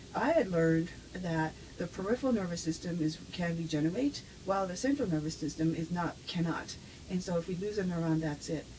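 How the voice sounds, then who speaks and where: With an American accent, a woman talks at a fairly quick pace. Her fairly low voice shows ordinary pitch variation. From US, with childhood ages 5 to 11 in Japan. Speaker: neuroscience professor. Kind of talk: interview. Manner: halting, with frequent fillers.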